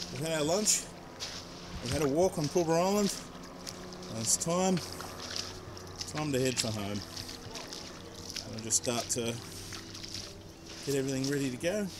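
A man talks at a fairly slow pace with long, frequent pauses and ordinary pitch variation. Clear background noise runs behind him. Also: medium pitch for a man.

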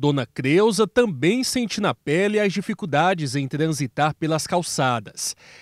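In a very clean recording with a silent background, a man with a plain, everyday voice and a fairly high pitch speaks at a fairly slow pace with lively intonation. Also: hardly any pauses, dry, close sound with no echo. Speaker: news reporter. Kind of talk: news reading.

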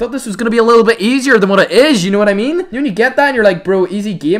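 Over noticeable background noise, a man talks very fast in a high voice with very wide pitch swings. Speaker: gaming YouTuber. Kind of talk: live gameplay commentary. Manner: animated; loud.

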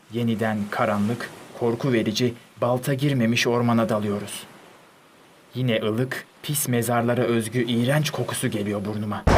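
Noticeable background noise beneath a male voice of medium pitch and fairly even intonation. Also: moderate pace. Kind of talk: literary audiobook reading of diary prose.

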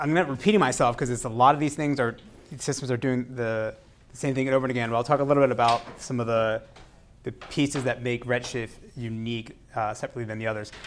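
The speaker is male. He talks very fast. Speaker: university lecturer. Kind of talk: lecture. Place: classroom.

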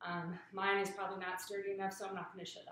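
Amid light background noise and audible room echo, a woman talks at a very fast pace. Her intonation is monotone and flat. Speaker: fitness coach. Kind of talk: tutorial. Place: garage. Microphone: webcam.

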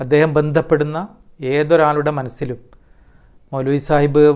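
A man with a fairly high voice speaks in a normal speaking voice against a quiet background. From Kerala. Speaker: former student, community member; interviewee. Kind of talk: testimony. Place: home room. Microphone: lapel.

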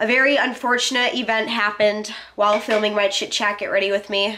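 A woman talks fairly quickly at a medium pitch with little pitch movement. Her tone is bright, sharp and nasal.

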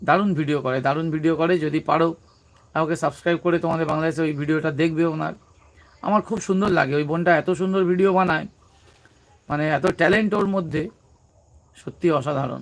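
The man's voice is fairly high-pitched, with fairly even intonation. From West Bengal, South 24 Parganas. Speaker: comedy YouTuber. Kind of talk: casual live-stream chat. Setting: live stream.

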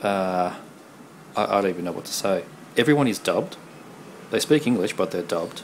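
A man speaks with a low pitch at a moderate pace. His intonation is lively.

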